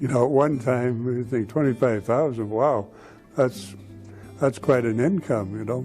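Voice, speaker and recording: Over music in the background, a man with a northern Ontario accent talks at a moderate pace in a medium pitch with ordinary pitch variation. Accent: Canadian (northern Ontario). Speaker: retiree. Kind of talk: interview. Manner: halting.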